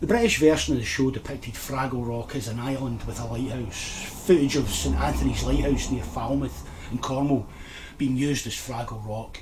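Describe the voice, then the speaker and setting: With a Scottish accent, a man speaks at medium pitch and a moderate pace with lively intonation, amid audible room echo and noticeable background noise. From Scotland, Lanarkshire area. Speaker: nostalgia YouTuber. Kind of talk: scripted narration.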